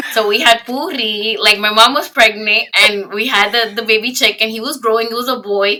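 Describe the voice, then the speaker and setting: Speaking with a Spanish accent, a woman keeps a moderate pace and hardly pauses. Her voice is fairly high, with ordinary pitch variation. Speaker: podcast host. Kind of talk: casual chat.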